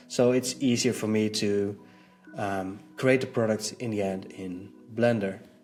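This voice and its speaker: Music plays in the background as a man speaks at a fairly slow pace with a fairly low pitch. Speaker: web designer, video creator. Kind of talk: casual vlog status update. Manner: halting, many fillers.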